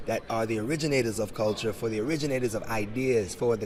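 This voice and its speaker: Speaking at a moderate pace with an American accent, a man can be heard against noticeable background noise. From Jamaica, raised South Bronx, New York. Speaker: crypto entrepreneur. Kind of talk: interview. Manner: animated.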